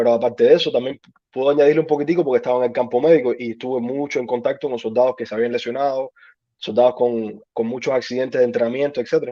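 At a very fast pace, a man speaks with medium pitch and fairly even intonation. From Cuba. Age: 30s. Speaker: army veteran. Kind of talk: interview.

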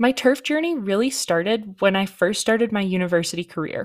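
A woman with a Canadian accent speaks at medium pitch and a fairly quick pace with ordinary pitch variation. The recording is very clean, with a silent background. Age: 20s. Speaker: podcast host, golf course turf worker. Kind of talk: solo podcast monologue.

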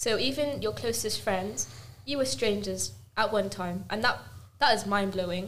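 At medium pitch and a moderate pace, a woman speaks with lively intonation. Vocal fry runs through her voice. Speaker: podcast co-host. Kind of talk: casual chat.

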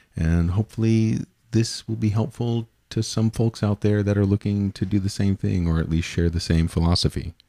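Recorded very cleanly with a silent background and a dry, close sound with no echo, a man speaks at a moderate pace in an unremarkable speaking voice, pitched fairly low, with very even loudness and ordinary pitch variation. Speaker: podcast host. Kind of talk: casual chat.

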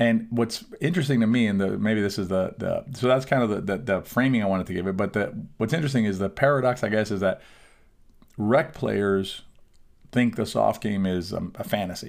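With a plain, everyday voice, a man speaks fairly quickly at a fairly low pitch with ordinary pitch variation, in a very clean recording with a silent background. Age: 50s. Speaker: pickleball coach and podcast host. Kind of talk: solo podcast monologue. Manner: conversational with frequent fillers and restarts.

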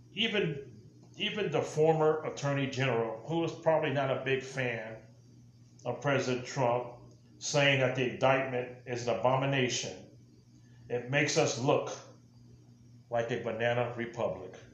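Speaking with an American accent, a man keeps a moderate pace. He leaves long, frequent pauses over noticeable background noise. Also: medium pitch for a man, ordinary pitch variation. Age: old. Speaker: podcast host, political commentator; military veteran. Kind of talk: political monologue. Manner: impassioned, ranting.

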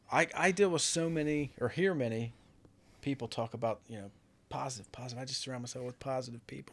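This man talks at a very fast pace with ordinary pitch variation. His loudness swings widely. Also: medium pitch for a man. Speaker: guest, former brewery coworker. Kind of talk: casual chat. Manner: joking, bantering.

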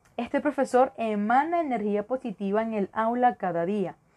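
With a Venezuelan accent, a woman speaks at a fairly slow pace. Her pitch is fairly high, and her intonation is lively. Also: very clean recording, silent background. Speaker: podcast host and teacher. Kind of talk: podcast monologue on education.

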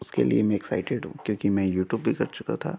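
The voice has a dark, mellow tone. The pace is moderate. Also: man. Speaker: podcaster. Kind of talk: casual solo monologue. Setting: at home at night. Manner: soft-spoken; halting.

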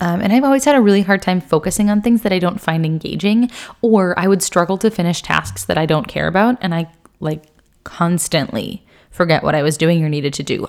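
In a very clean recording with a silent background, a woman with a plain, everyday voice speaks at a moderate pace, her pitch fairly low and her pitch variation ordinary. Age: 20s. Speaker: health and wellness podcast host. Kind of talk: casual solo podcast monologue. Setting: home recording on video.

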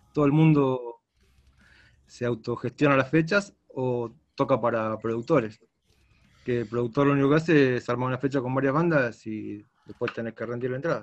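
A man speaks at a moderate pace with a medium pitch and fairly even intonation. He has an ordinary speaking voice. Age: 50s. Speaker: rock guitarist. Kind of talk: interview.

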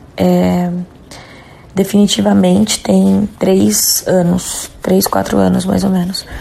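There is noticeable background noise as a woman speaks at a very slow pace. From Jundiaí, São Paulo state, Brazil. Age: 30s. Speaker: rock band singer. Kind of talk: recorded interview answers.

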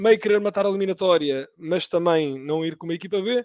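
A man with a high pitch and ordinary pitch variation, fairly quick in pace, in dry, close sound with no echo. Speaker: football podcast panelist. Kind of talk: casual chat.

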